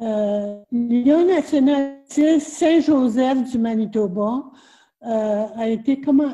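This woman speaks with a high pitch and a dark, mellow tone. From Red River, Manitoba, Canada. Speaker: Métis elder, storyteller and author. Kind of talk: interview answer. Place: home room. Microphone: webcam.

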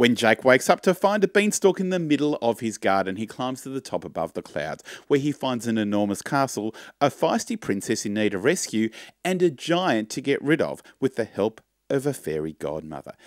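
Against a quiet background, a man's voice moves in very wide pitch swings, dry with no echo. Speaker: presenter. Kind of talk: show announcements, promotional read. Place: home room. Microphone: studio mic.

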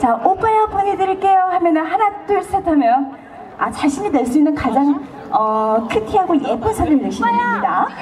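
Over crowd noise in the background, a woman talks in an animated tone at a high pitch, her pitch swinging very widely while her loudness stays very even. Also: moderate pace. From South Korea. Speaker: singer. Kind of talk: stage talk to audience between songs; stage banter to audience. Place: stage. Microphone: pa.

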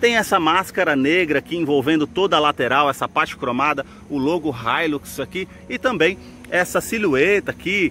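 With light background noise and a dry sound with no echo, a man speaks at a moderate pace with ordinary pitch variation. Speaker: car channel host. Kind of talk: product walkaround commentary. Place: street. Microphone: phone near.

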